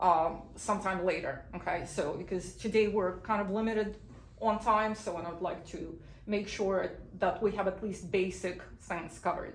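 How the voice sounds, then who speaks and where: With audible room echo and noticeable background noise, a woman speaks at a moderate pace and medium pitch, using fairly even intonation and long, frequent pauses. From Belarus. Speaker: immigration lawyer. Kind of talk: legal information talk via interpreter. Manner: short sentences, paced for translation.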